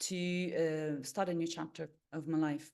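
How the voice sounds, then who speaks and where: A woman's very deep, low voice in an Italian accent, with a dark, mellow tone, ordinary pitch variation and a fairly slow pace, over a quiet background. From Italy. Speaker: meditation coach and holistic therapist. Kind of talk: webinar introduction. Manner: halting, many fillers.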